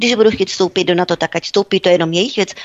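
A woman's voice at a medium pitch. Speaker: commentator. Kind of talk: political talk radio discussion.

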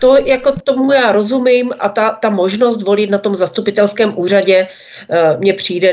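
A woman's medium-pitched voice with lively intonation, at a moderate pace. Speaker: publisher and blogger. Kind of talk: political talk radio discussion. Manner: hesitant, frequent fillers.

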